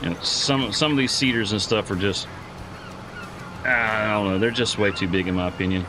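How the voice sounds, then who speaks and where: A fairly low-pitched man with a Southern US accent in a relaxed tone, with long, frequent pauses, noticeable background noise and audible room echo. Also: ordinary pitch variation, moderate pace. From US South (southeast Georgia). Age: 40s. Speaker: gaming live streamer. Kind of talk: casual live-stream chat. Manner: relaxed, halting with fillers.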